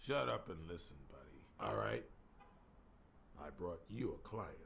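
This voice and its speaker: A man speaks in a put-on character voice, very deep and raspy. He keeps a moderate pace over clear background noise. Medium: video game.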